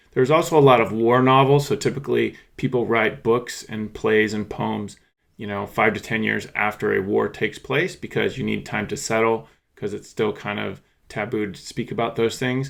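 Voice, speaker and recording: A man in an American accent with an unremarkable speaking voice, medium pitch, ordinary pitch variation, and a moderate pace, on a very clean recording with a silent background. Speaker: history teacher. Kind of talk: lecture.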